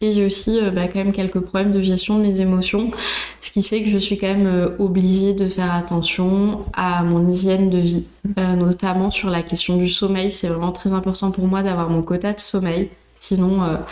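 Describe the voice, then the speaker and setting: Against noticeable background noise, a woman speaks at medium pitch and a moderate pace, with very even loudness and monotone, flat intonation. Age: 30s. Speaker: instagram content creator. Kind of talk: interview.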